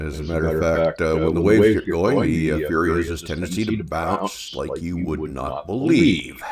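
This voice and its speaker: With noticeable background noise behind him, a man with a very deep, low pitch speaks at a moderate pace, with hardly any pauses and ordinary pitch variation. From Canada. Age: 60s. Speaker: science and tech livestreamer. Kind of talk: live commentary. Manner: casual, hesitant with fillers.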